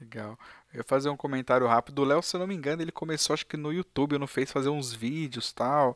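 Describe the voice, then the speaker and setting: A man speaks very fast in a fairly high voice, with a dry, close sound and no echo. The recording is very clean, with a silent background. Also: ordinary pitch variation. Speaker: live stream interview host. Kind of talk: casual live stream interview.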